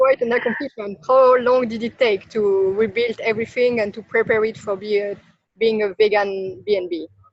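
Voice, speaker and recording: The speaker talks at a moderate pace with fairly even intonation in a French accent. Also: woman, fairly high pitch for a woman. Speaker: interviewer, hospitality business coach. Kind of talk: interview.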